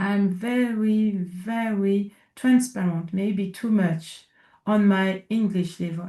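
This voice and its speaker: A woman with a French accent speaks at a very slow pace and medium pitch, her intonation fairly even. Her tone is dark and mellow, and somewhat breathy. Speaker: inclusion consultant. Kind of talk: interview conversation. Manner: halting, searching for words.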